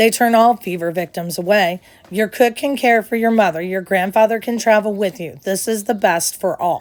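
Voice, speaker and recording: Over music in the background, a woman uses a put-on, growling character voice at a medium pitch. Her pace is moderate and her pitch varies in an ordinary way. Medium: read story. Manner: authoritative, brusque.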